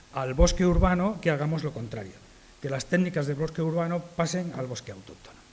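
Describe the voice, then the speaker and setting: A man speaks at a moderate pace in a normal speaking voice. His pitch is fairly high, with ordinary variation. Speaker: arborist association speaker. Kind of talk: conference talk. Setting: conference with audience.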